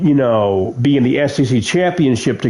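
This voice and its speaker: Noticeable background noise runs under the voice. The speaker keeps a moderate pace. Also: man. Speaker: sports commentator / streamer. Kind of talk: casual commentary. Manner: halting.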